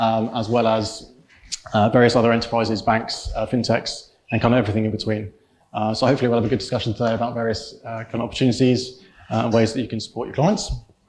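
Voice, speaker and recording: Speaking at a very fast pace, a man keeps a monotone, flat intonation at a medium pitch. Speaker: sales executive, panel moderator. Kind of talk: panel presentation. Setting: live event with audience in an office. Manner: halting, many fillers.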